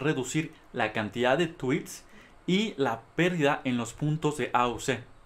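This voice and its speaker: The voice carries a Mexican accent with ordinary pitch variation at a fairly slow pace. The recording is very clean, with a silent background. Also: man. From Mexico. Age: 20s. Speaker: graduate student researcher. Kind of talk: conference presentation.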